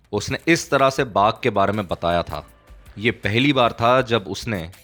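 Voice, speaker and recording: Over music in the background, a man with a fairly low pitch talks with lively intonation. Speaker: audiobook narrator. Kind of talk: audiobook story narration.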